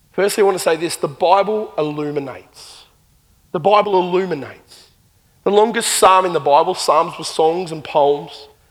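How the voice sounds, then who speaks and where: A man with an Australian accent speaks at a moderate pace. His pitch is high, with ordinary pitch variation. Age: 40s. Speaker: pastor. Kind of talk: sermon. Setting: church.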